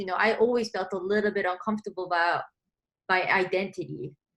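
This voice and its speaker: Her tone is bright and sharp. The woman's pitch variation is ordinary. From South Korea. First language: Korean. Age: 20s. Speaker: composer. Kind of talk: interview. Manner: casual, many fillers.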